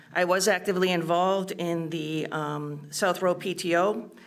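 A woman with an unremarkable speaking voice, fairly low in pitch, with fairly even intonation. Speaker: school board candidate, special education teacher; candidate, special education teacher. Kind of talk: candidate debate. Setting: stage with audience. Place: hall. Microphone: podium.

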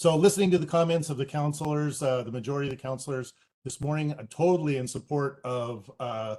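Here is a man with a normal speaking voice. His pitch is medium, with ordinary variation. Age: 60s. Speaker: public commenter. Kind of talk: public comment.

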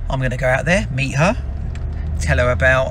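A man is heard with light background noise. The sound is dry with no echo. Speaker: business owner vlogger. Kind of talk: casual vlog chat. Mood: relaxed, upbeat. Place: car. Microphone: phone near.

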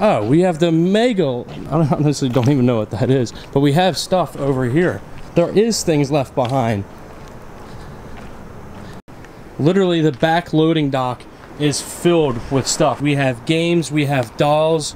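This man speaks at a moderate pace with ordinary pitch variation. Long, frequent pauses break up his speech, and light background noise is present. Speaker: urban explorer vlogger. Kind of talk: casual vlog chat. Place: street. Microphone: phone near.

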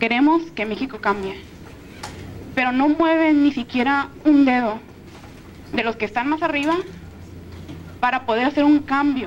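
A woman speaks at a high pitch with long, frequent pauses. Light background noise is present. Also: ordinary pitch variation, moderate pace. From Mexico. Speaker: university student in audience; audience member. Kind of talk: audience question. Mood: earnest, grateful, emotional. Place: hall. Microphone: handheld.

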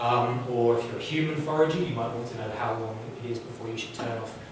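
A man speaks at a very fast pace with ordinary pitch variation. Strong room echo and noticeable background noise surround him. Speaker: academic lecturer. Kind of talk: lecture. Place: hall. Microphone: camera far.

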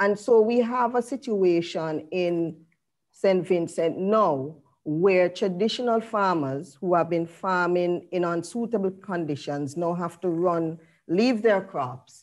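Over a quiet background, the voice goes at a very slow pace with ordinary pitch variation. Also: woman, fairly low pitch for a woman. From Jamaica. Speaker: university researcher; panelist. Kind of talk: prepared presentation. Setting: video call. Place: home room. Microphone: earbuds.

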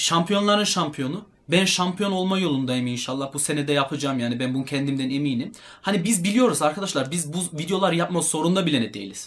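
A man with an ordinary speaking voice, fairly high in pitch, at a fairly quick pace. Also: lively intonation. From Germany (Turkish heritage). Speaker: fitness YouTuber and bodybuilder. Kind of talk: casual talk to camera.

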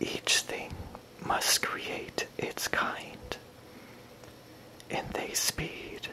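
Whispered words come out very slowly, broken up by long pauses that occur often. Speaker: poetry reader. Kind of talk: ASMR poetry reading. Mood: gentle and soothing. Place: home room.

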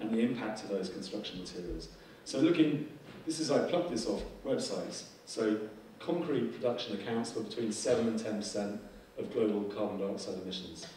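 Against light background noise and audible room echo, a man with a fairly low voice talks at a fairly quick pace. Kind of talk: conference presentation. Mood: relaxed, joking. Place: hall.

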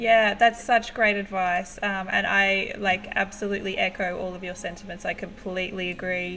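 A woman with an Australian accent, medium pitch and monotone, flat intonation, hardly any pauses, over light background noise. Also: moderate pace. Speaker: livestream host and music photographer; livestream host. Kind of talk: casual live-stream interview. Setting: live video stream. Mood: warm, encouraging. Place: home room. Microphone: webcam.

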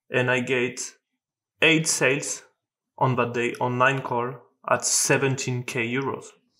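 In a quiet background, a man with a French accent speaks at a fairly slow pace with long, frequent pauses, a bright, sharp tone, medium pitch and a monotone, flat intonation. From France. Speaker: sales closer. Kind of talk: podcast interview answer. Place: home room.

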